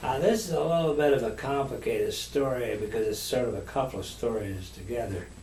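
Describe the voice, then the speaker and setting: Over noticeable background noise, a man talks at a fairly quick pace with hardly any pauses. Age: 70s. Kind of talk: storytelling about own life.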